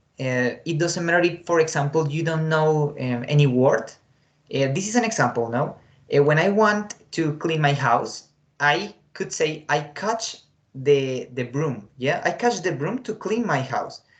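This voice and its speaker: Here a man speaks with a Spanish accent at a fairly high pitch. His pace is fairly slow and his intonation lively. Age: 20s. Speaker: English teacher. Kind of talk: online class lesson. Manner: hesitant, many fillers.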